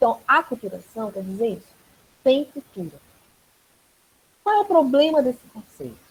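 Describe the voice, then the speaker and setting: A woman with a high pitch speaks fairly slowly, her voice swinging very widely up and down. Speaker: anthropology professor. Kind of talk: online class Q&A, explaining a concept.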